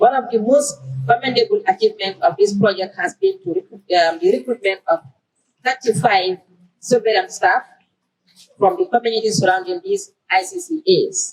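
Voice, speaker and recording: A woman's fairly high voice makes very wide pitch swings in a dry, close sound with no echo. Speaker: government minister. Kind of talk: prepared speech. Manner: fast.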